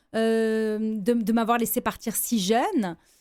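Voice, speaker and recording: The recording is very clean with a silent background. A woman speaks at a fairly high pitch. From Lebanon, then France from 17. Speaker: businesswoman and gender-equality advocate. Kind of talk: radio interview. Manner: hesitant, with repeated false starts.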